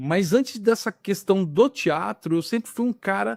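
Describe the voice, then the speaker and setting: A man speaks at a fairly slow pace with a high pitch and ordinary pitch variation. The recording is very clean with a silent background and a dry, close sound with no echo. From Rio de Janeiro, Brazil. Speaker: actor and film director. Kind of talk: casual interview. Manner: relaxed, conversational.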